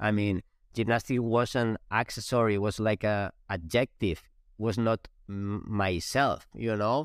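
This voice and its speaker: Speech in a Spanish accent carries fairly even intonation in a dry, close sound with no echo. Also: man, fairly low pitch for a man. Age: 40s. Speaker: former gymnast. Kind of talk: interview. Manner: halting.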